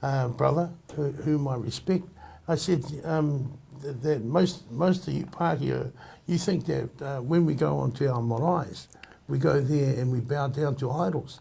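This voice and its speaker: A man's somewhat breathy voice, dark and mellow in tone, fairly high in pitch with ordinary pitch variation, at a fairly slow pace. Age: 60s. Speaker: Māori community member. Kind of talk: group discussion. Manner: halting.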